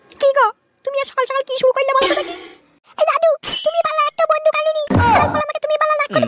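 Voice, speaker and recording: This is a cartoonish character voice from a woman at an extremely high pitch. She talks very fast. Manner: nagging.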